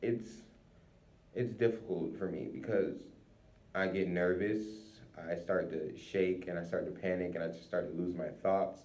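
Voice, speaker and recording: Long pauses come often in this fairly slow speech. Room echo is audible. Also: man. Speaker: college student. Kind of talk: informal recorded monologue. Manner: halting; slurred and quiet when not paying attention.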